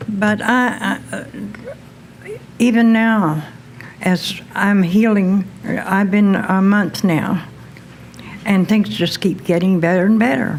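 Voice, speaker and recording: At a very slow pace and medium pitch, a woman speaks with ordinary pitch variation and long, frequent pauses, with noticeable background noise. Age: 70s. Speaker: patient. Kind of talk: testimony.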